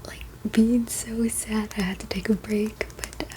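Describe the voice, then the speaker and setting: Soft-spoken, a woman talks at a fairly slow pace against noticeable background noise. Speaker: ASMR creator. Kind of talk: casual ASMR rambling about a collection.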